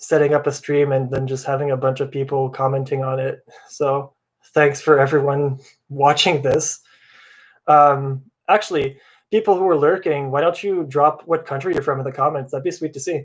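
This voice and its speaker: Against a quiet background, a man speaks at a fairly high pitch at a moderate pace. His voice is somewhat breathy and his intonation fairly even. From Canada, Ottawa. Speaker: bass tab creator and live streamer. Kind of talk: casual live stream chat. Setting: live stream.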